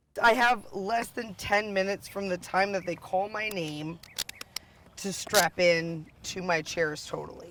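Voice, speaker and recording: A woman talks at a fairly slow pace with a medium pitch and ordinary pitch variation. Noticeable background noise runs underneath. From US East Coast (moved often; Long Island, New York). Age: 30s. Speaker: para-athlete. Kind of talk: documentary interview. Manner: casual, with fillers.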